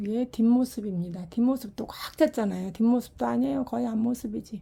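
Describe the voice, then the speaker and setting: Over a silent background in a very clean recording, a woman speaks at a moderate pace with a fairly high, somewhat breathy voice, a dark, mellow tone and lively intonation. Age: 60s. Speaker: ceramic pot maker selling own work. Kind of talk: product showcase sales talk. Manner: casual, unedited one-take talk.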